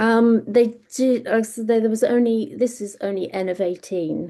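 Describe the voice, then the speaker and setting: Here a woman speaks at a fairly slow pace in a dark, mellow tone. Her pitch variation is ordinary, and the background is quiet. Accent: British. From Britain. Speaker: freelance medical communications panelist. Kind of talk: webinar data presentation. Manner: hesitant, many fillers and restarts.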